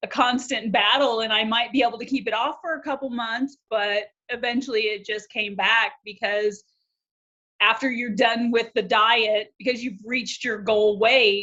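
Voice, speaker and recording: A woman with a normal speaking voice, fairly high in pitch, with fairly even intonation at a moderate pace. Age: 50s. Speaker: coaching client. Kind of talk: interview.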